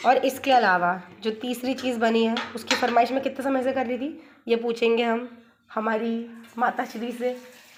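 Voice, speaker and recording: A woman speaks at a fairly slow pace in a high, monotone voice with flat intonation, over noticeable background noise. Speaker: vlogger. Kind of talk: casual vlog chat. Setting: at her parents' home kitchen.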